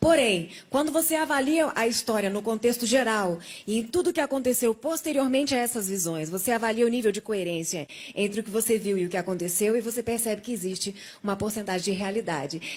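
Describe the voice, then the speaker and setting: In a normal speaking voice, a woman talks at a fairly quick pace with a fairly high pitch and lively intonation. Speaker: testimony guest, survivor of coma. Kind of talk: testimony.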